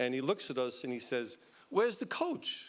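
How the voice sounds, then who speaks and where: At a moderate pace, a man talks in a fairly high voice. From West Virginia. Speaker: university administrator. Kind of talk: speech to audience.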